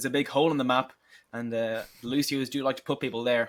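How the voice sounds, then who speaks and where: On a very clean recording with a silent background, a man with an Irish accent and medium pitch speaks at a fairly quick pace. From Ireland. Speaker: esports caster. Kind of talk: live commentary.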